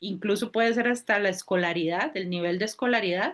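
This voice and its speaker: A woman at a medium pitch talks with ordinary pitch variation, keeping a moderate pace. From Costa Rica. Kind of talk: casual chat.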